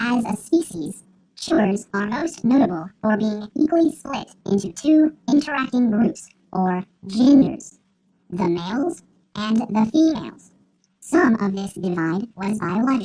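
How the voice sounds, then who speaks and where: At a moderate pace, a female-sounding voice performs a put-on character voice. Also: fairly high pitch for a woman. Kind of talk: nature documentary narration. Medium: comedy sketch. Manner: deadpan, formal, clinical.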